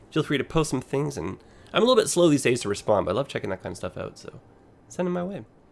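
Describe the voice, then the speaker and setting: Talking at a very fast pace, a man with vocal fry and a fairly high pitch swings his pitch very widely. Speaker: gaming video creator. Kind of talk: let's play commentary.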